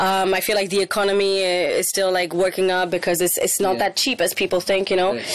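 A woman talks at a very fast pace with hardly any pauses, her pitch medium and her intonation fairly even. Her loudness stays very even over noticeable background noise. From Spain. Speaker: rapper. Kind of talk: interview.

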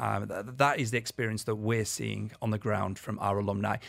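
On a very clean recording with a silent background, a man with a British accent and a medium pitch speaks at a fairly quick pace with vocal fry. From UK. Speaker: education director. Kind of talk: radio interview.

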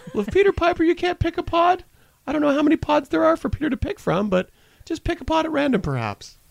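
A squeaky, high-pitched put-on character voice rattles along at a very fast pace in a playful tone. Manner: mocking, playful.

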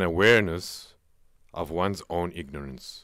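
A man's very deep, low voice with vocal fry, lively intonation and a moderate pace. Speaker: researcher and vocalist. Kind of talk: radio interview. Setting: radio studio.

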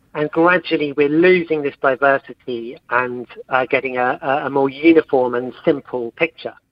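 Speaking at a moderate pace with a southern English accent, a man uses a fairly high pitch and fairly even intonation. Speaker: academic researcher. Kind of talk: interview. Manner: halting.

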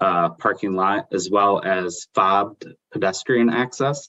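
A man with a fairly low pitch speaks at a moderate pace in a plain, everyday voice. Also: dry, close sound with no echo. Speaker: property developer. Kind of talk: formal council committee meeting.

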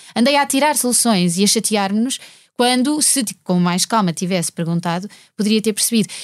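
Captured in a very clean recording with a silent background, a woman speaks at a moderate pace with very even loudness. Her fairly high voice carries lively intonation. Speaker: singer and mother. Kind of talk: casual chat. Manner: halting.

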